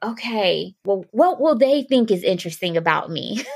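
A woman with an American accent, medium pitch and a moderate pace. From US Midwest, Columbus, Ohio. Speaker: fellowship alumna, community health leader. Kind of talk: interview.

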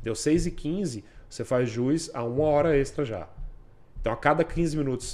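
A man in an unremarkable speaking voice talks at a moderate pace with ordinary pitch variation. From Brasília, Brazil. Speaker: police officer. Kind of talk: interview.

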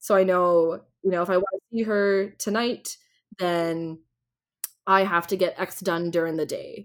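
Flat, monotone delivery at a fairly slow pace, with long, frequent pauses and a Canadian accent. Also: woman, medium pitch for a woman. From Ontario, Canada. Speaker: nonprofit founder and diversity consultant. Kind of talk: interview.

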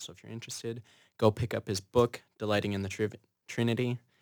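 A fairly low-pitched man with an Upper Midwest accent and fairly even intonation, on a very clean recording with a silent background. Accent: Upper Midwest American. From Minnesota (Fergus Falls). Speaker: theology student. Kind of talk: casual chat.

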